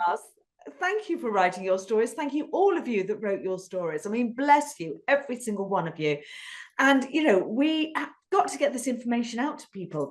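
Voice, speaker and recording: Speaking in a British accent, a woman talks at a moderate pace. Her high voice swings very widely in pitch. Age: 50s. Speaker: podcast host. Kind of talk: casual interview chat. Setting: podcast.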